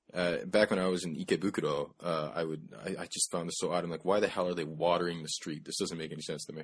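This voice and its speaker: A man with a very deep, low pitch talks very fast in a monotone, flat intonation with hardly any pauses. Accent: American. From United States. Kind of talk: casual chat.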